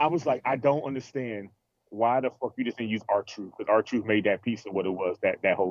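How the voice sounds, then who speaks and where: A man with a normal speaking voice talks at a fairly quick pace, medium in pitch with ordinary pitch variation. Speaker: wrestling podcast co-host. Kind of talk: casual podcast banter.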